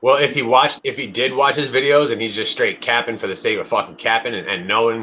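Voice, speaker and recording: Speaking at a fairly quick pace, a man uses a medium pitch, ordinary pitch variation and a bright, sharp tone. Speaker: podcast host. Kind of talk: casual chat.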